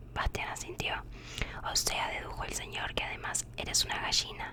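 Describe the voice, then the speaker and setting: A woman whispers at a moderate pace. Noticeable background noise can be heard. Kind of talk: sleep story reading. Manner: whispered.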